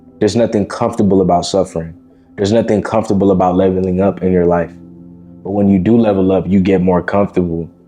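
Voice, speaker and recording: A man speaks very fast in a very deep, low voice, his intonation flat and monotone, with music playing in the background. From Miami. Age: 20s. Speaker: self-improvement content creator. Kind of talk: casual motivational talk to camera. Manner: informal, conversational.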